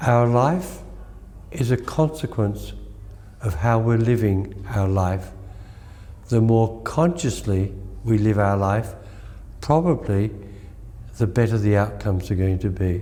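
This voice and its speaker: Over noticeable background noise and audible room echo, a man talks at a fairly slow pace with long, frequent pauses. His loudness stays very even, and his pitch varies in an ordinary way. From Australia, country Victoria. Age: 80s. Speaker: Reiki master. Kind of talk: interview.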